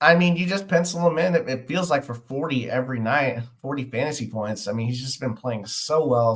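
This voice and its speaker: Somewhat breathy and medium in pitch, a man talks at a fairly quick pace with ordinary pitch variation and hardly any pauses. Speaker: sports betting podcast host. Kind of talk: live stream fantasy sports analysis. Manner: frequent filler words.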